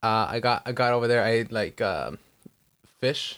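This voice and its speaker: At a fairly slow pace, a man speaks with medium pitch in a very clean recording with a silent background. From US, Mexican-American family from Michoacan. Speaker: podcast co-host. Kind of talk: casual chat. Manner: animated; halting.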